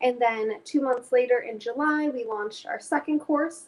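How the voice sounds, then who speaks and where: This woman talks at a moderate pace in a high voice with ordinary pitch movement and a Chicago accent. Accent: Chicago American English. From US Midwest, Chicago. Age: 20s. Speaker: climate education director. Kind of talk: interview. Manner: hesitant with fillers.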